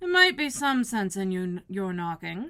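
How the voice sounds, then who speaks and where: A woman performs a put-on character voice at a medium pitch. She speaks at a moderate pace with lively intonation. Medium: read story. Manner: unbothered.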